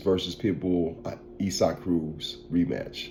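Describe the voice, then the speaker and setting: A dark, mellow tone with a St. Louis accent, at a fairly slow pace. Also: man. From US Midwest, St. Louis, Missouri. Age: 40s. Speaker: podcast host and barber. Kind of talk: casual commentary podcast. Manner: animated; repetitive, stammering restarts.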